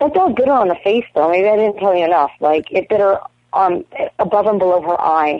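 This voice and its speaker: Speaking at a fairly quick pace, a woman at medium pitch uses lively intonation while her loudness stays very even. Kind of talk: casual chat. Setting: phone call. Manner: animated.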